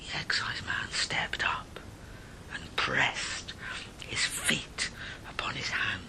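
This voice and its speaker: Very slow whispering from a man, with noticeable background noise behind it. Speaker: storyteller. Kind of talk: ghost story reading.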